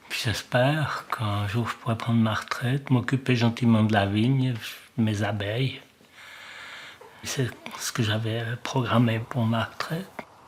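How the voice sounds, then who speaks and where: With fairly even intonation and a medium pitch, the man talks fairly slowly, pausing often and at length. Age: 60s. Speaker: farmer. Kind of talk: interview.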